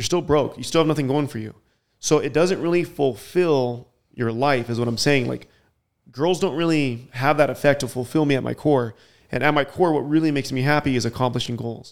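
Here a man uses an ordinary speaking voice, fairly high in pitch, at a fairly quick pace. His pitch varies in an ordinary way on a very clean recording with a silent background. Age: 30s. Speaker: web series host and YouTuber. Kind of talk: casual chat. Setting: podcast recorded in Colombia.

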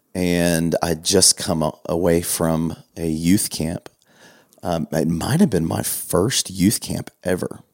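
The delivery comes at a very slow pace with fairly even intonation. The sound is dry and close, with no echo. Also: man, very deep, low pitch for a man. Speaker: pastor. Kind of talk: casual chat.

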